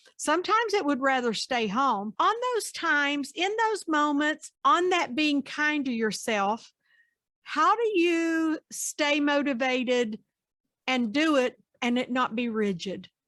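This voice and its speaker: High-pitched woman with an American accent, bright and sharp in tone, very wide pitch swings, fairly slow pace, on a very clean recording with a silent background. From US, West Virginia. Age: 60s. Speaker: podcast host and psychotherapist. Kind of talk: interview.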